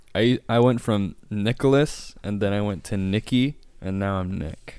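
An ordinary speaking voice from a man, fairly low in pitch, with fairly even intonation. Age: 20s. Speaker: podcast host. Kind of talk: casual chat.

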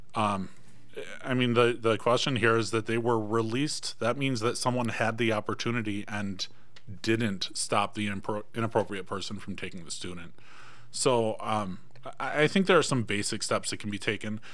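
There is audible room echo as a man with an American accent speaks at a medium pitch. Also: ordinary pitch variation, moderate pace. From Michigan. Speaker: school board candidate. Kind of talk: political debate. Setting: studio.

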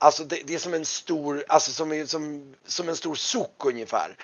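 The man's voice sits at a fairly high pitch with a fairly bright tone. His intonation stays fairly even.

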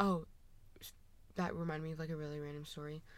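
A woman's very deep, low-pitched voice with audible room echo. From Washington state. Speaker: college athlete and artist. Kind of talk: casual chat. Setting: walk-in closet at a house.

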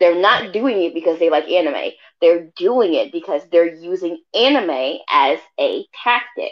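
At a fairly slow pace, a plain, everyday voice moves along with lively intonation. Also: woman, medium pitch for a woman. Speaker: co-host. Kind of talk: casual chat. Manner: blunt, confident.

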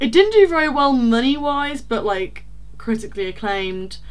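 Lively intonation from a woman with an East Midlands accent. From rural Leicestershire. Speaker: podcast co-host. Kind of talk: casual chat.

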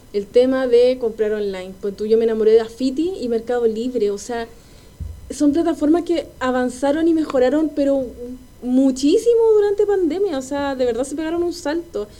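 Over noticeable background noise, a woman speaks at a moderate pace. Her voice is high-pitched, with lively intonation. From Chile, Quilpué. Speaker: podcast co-host. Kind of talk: casual chat.

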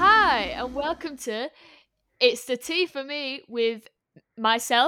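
A woman with a high-pitched, bright, sharp tone speaks in a raised, projected voice. Her intonation is lively while her pace is very slow. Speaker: podcast co-host. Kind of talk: casual chat.

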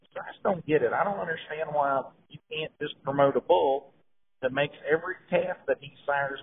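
A man with an American accent speaks at a moderate pace and a fairly high pitch, his loudness swinging widely. It is a plain, everyday voice. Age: 40s. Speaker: cattle breeder. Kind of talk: casual chat.

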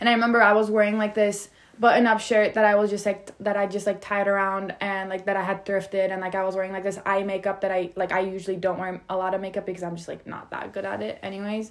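A woman speaks at a very fast pace with hardly any pauses. Her pitch is medium. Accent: Turkish. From Turkey, Istanbul. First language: Turkish. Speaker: podcast co-host, college student. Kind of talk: casual chat. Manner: animated.

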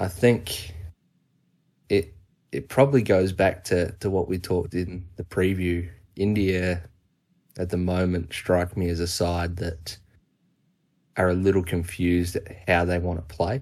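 Against a quiet background, a man with an Australian accent talks fairly slowly in a very deep, low voice, leaving long, frequent pauses. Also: fairly even intonation. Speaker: cricket podcast co-host. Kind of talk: casual chat.

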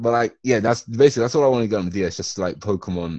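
Talking at a very fast pace, a man uses a medium pitch and an English accent. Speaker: podcast co-host. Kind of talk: casual chat.

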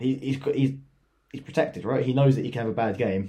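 In an English accent, a man speaks with a dark, mellow tone that is somewhat breathy. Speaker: football podcast co-host. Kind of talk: casual chat.

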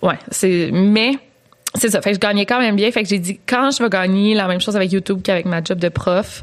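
At a moderate pace and with fairly even intonation, this is an unremarkable speaking voice. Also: woman. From Quebec. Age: 20s. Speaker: true crime YouTuber. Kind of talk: storytelling; casual chat.

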